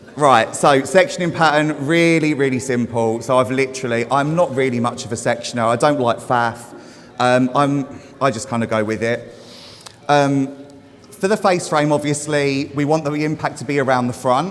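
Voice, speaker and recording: Amid noticeable background noise, a man's fairly high voice keeps a moderate pace and ordinary pitch variation. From Essex, England. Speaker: hair stylist. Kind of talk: live demonstration talk to audience. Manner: loud; casual, sweary.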